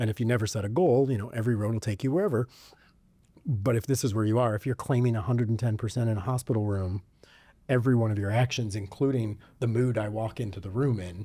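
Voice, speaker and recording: Speaking very fast with an American accent, a man uses a medium pitch and ordinary pitch variation. His tone is dark and mellow and somewhat breathy. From US Midwest, suburb of Detroit. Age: 40s. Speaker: podcast host. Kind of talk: casual chat.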